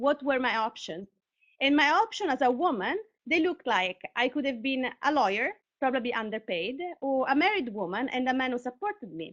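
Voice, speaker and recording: With an Italian accent, a woman speaks at a high pitch and a fairly quick pace. Her pitch swings very widely. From Italy, Sicily (Catania). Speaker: artist and tech worker, speaker. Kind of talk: conference talk; reading aloud. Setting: live online broadcast.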